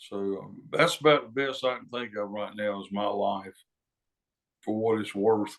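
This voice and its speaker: A Southern US accent at a fairly slow pace, with big swings in loudness and ordinary pitch variation. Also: man, fairly low pitch for a man. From North Carolina, near Charlotte. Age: 70s. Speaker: singer-songwriter. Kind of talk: interview. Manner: halting, many fillers.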